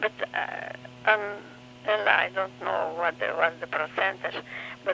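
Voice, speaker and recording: A very slow pace over noticeable background noise. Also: woman. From Romania. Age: 80s+. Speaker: grandmother, retired chiropractor. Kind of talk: oral history interview. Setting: home recording. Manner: halting.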